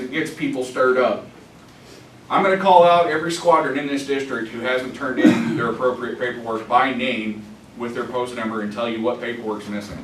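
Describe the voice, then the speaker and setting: A man with an American accent, fairly quick pace and lively intonation, plus noticeable background noise and audible room echo. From US South. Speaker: veterans' organization officer. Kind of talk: business report at a conference.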